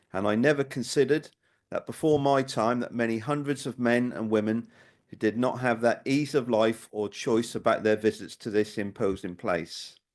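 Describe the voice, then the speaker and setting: A man with a Norwich accent at medium pitch, moderate pace and ordinary pitch variation, over a quiet background. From Norwich, Norfolk, England. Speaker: local historian. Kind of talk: public talk.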